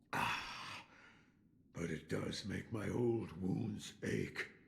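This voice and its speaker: A man's put-on character voice, very deep and low in pitch, growling at a very slow pace. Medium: short film.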